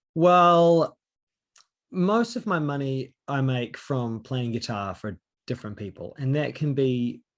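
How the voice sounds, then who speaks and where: A man's medium-pitched voice with lively intonation at a fairly slow pace, over a quiet background. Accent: New Zealand. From New Zealand. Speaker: singer-songwriter and session guitarist. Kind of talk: interview. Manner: hesitant, many fillers.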